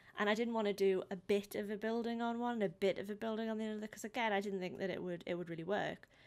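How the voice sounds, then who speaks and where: With a British accent, a woman of medium pitch talks very fast with hardly any pauses. Her intonation stays fairly even. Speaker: painting hobbyist vlogger. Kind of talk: voice-over narration of timelapse. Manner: words end abruptly; hesitant, many pauses.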